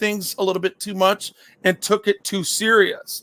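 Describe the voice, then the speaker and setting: In a dry, close recording with no echo, a man raises and projects his voice, bright and sharp in tone at a high pitch. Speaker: YouTube livestreamer. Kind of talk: casual chat. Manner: loud; stammering repetitions.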